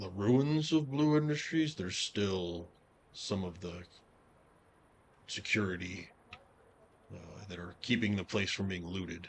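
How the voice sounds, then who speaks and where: Using a put-on character voice, a man speaks at a fairly low pitch. His pace is moderate, broken by long, frequent pauses. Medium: actual play. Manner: casual, wry.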